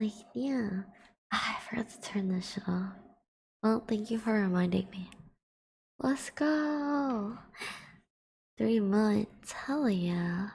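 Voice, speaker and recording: A very slow pace with long, frequent pauses. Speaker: VTuber ASMR streamer. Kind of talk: casual talk to stream chat.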